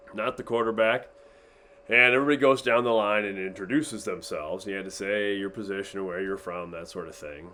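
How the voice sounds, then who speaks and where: A man with a fairly low pitch and a bright, sharp tone talks at a fairly quick pace. His loudness swings widely while his pitch varies in an ordinary way. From Iowa (US Midwest). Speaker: teacher. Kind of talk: storytelling to a class.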